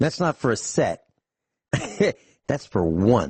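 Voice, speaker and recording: A man's somewhat breathy voice moves at a fairly slow pace while his pitch swings very widely. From Italian-American.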